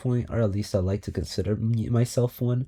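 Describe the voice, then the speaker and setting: This man has a medium-pitched, dark, mellow tone that is somewhat breathy. He speaks at a moderate pace on a very clean recording with a silent background. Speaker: vlogger. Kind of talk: personal monologue. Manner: halting.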